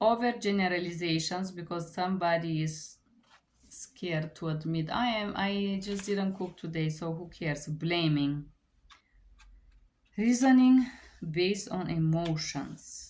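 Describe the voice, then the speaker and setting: A woman with a Bulgarian accent at a fairly low pitch and fairly slow pace, ordinary pitch variation, and long, frequent pauses. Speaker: book reviewer. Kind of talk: book review. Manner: halting.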